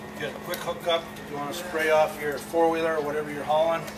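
A man speaks against noticeable background noise. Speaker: camper salesman. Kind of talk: sales walkthrough tour. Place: hall. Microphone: camera far.

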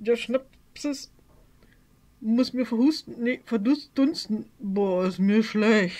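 Putting on a character voice, a woman mumbles at a fairly high pitch. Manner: mumbling, queasy.

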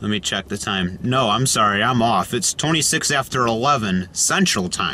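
With hardly any pauses, a man talks at a moderate pace in a dry sound with no echo, with light background noise. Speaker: road trip vlogger. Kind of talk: casual vlog chat. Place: car.

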